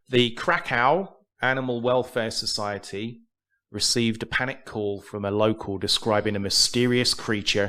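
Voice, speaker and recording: A man speaks in an English accent with a bright, sharp tone and ordinary pitch variation. His pace is moderate, and the recording is very clean with a silent background. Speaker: podcast co-host. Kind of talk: reading aloud news stories; casual chat.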